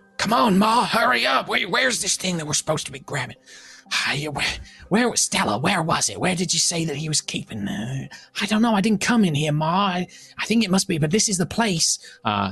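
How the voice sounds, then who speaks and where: A man uses a put-on character voice with a high pitch. He talks at a fairly quick pace. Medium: actual play. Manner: hesitant, rambling.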